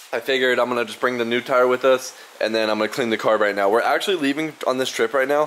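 His pitch shifts in an ordinary way. The man's delivery moves at a very fast pace. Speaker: scooter enthusiast vlogger. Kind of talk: casual vlog chat. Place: garage. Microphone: phone near.

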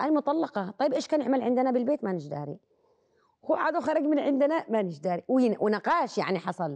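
A woman with a Yemeni accent and a high pitch, very wide pitch swings, a fairly quick pace, a quiet background, and a dry, close sound with no echo. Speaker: actress and singer. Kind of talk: casual chat.

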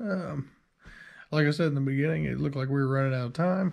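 A somewhat breathy man with lively intonation against a quiet background. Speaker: car DIY vlogger. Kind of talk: casual vlog chat. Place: home room. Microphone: phone near.

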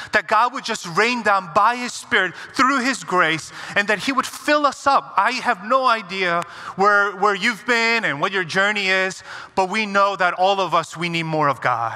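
In a raised, projected voice, a man talks at a moderate pace with ordinary pitch variation. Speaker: guest pastor. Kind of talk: sermon prayer. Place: church.

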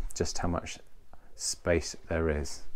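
The speaker is a man going at a fairly slow pace. There is light noise in the background. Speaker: yacht reviewer. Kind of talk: boat tour walkthrough. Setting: outdoors on a sailing catamaran. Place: boat. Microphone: phone near.

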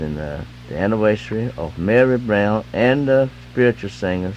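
A man with a fairly low pitch and very wide pitch swings over light background noise. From Eastern North Carolina. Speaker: radio DJ. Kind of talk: gospel radio DJ patter and live ad reads. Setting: AM radio broadcast. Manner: loose, slurred enunciation. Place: studio. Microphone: old recording.

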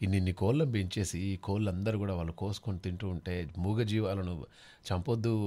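A man with a dark, mellow tone, fairly low pitch and ordinary pitch variation. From Telangana (Nalgonda district); Telangana. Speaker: radio host. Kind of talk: live call-in radio show. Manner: animated. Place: studio.

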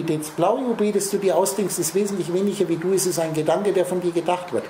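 Over noticeable background noise and audible room echo, a man speaks at a fairly quick pace with fairly even intonation. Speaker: spiritual speaker. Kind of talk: lecture. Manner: talks nonstop.

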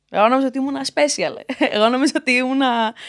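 A woman's high voice at a fairly quick pace, with ordinary pitch variation and a quiet background. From Crete, Heraklion; Crete, Greece. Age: 20s. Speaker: intersex advocate; podcast guest. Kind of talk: interview. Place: studio. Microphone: studio mic.

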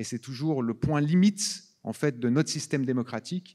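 Lively intonation from a man, the background quiet. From Switzerland. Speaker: film director. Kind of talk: festival Q&A on stage. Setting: stage with audience. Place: hall. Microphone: handheld.

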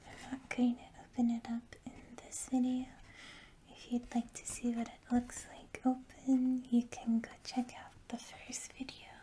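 A soft-spoken woman with a relaxed tone talks at a fairly slow pace and a high pitch, her intonation monotone and flat, with big swings in loudness and light background noise. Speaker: ASMR creator. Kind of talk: ASMR box opening, casual talk to camera. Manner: soft-spoken, slow, relaxed.

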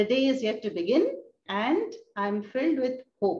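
At a fairly slow pace, a woman speaks at a high pitch with very wide pitch swings. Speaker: spiritual teacher. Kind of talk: lecture. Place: home room. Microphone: video call.

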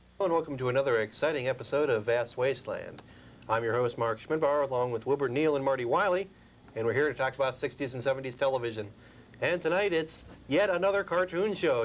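This man talks at a very fast pace with ordinary pitch variation. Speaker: TV show host. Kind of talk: show host introduction. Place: studio. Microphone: lapel.

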